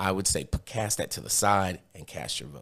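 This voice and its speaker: A man speaks at a fairly quick pace in a very deep, low voice with vocal fry. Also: very clean recording, silent background. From Brooklyn, New York; moved around as Air Force kid. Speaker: city council candidate. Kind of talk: interview. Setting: studio.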